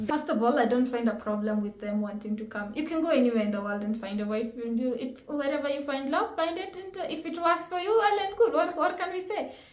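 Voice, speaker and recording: A woman's animated, high-pitched voice with very wide pitch swings, heard with audible room echo. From Kenya. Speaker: reaction video host. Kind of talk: reaction commentary.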